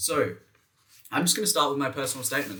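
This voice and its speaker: A man with an Australian accent and ordinary pitch variation. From Western Australia (Perth). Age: 20s. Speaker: education youtuber, graduate student. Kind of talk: casual tutorial talk to camera. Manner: casual, brisk.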